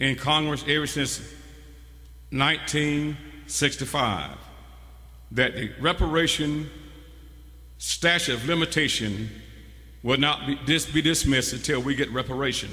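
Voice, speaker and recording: Audible room echo surrounds a man speaking at a fairly slow pace with fairly even intonation and a fairly high pitch. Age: 60s. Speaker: preacher. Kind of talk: sermon. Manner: call-and-response preaching.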